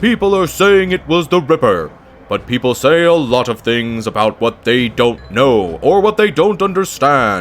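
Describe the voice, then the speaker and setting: A man uses a put-on character voice at a medium pitch, with very wide pitch swings. His pace is moderate. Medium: game stream. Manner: calm, impassive, dry.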